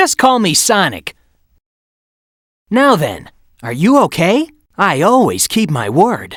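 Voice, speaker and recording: This is a cartoonish character voice with a fairly high pitch. It moves at a fairly slow pace, broken by long, frequent pauses. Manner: confident, breezy.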